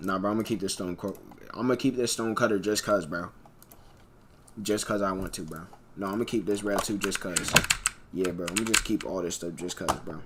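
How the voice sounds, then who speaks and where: A man with a fairly low pitch talks in a relaxed tone at a fairly quick pace, his intonation fairly even. Long, frequent pauses break his speech, and there is noticeable background noise. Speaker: gaming streamer. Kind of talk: live gameplay stream chat. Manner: casual, relaxed.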